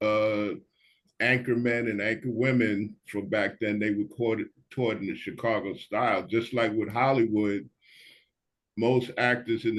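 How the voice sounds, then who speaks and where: Fairly slow speech with fairly even intonation, in a New York accent. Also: man. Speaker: panelist. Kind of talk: panel discussion.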